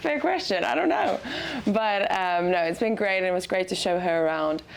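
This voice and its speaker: Speaking at a moderate pace with a South African accent, a woman of medium pitch uses lively intonation. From South Africa, Cape Town. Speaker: student athlete. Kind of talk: casual interview.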